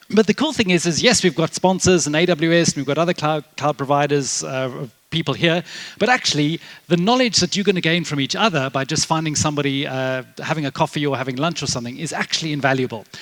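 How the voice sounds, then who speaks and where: A man in a South African accent, fairly high in pitch, at a very fast pace. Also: ordinary pitch variation, dry, close sound with no echo. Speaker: tech conference speaker, developer advocate. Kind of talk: conference talk. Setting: stage with audience. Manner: casual, filler-heavy.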